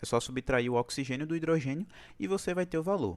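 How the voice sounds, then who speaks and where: Moderate pace with very wide pitch swings. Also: man. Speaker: chemistry tutor. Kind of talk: online class. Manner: casual.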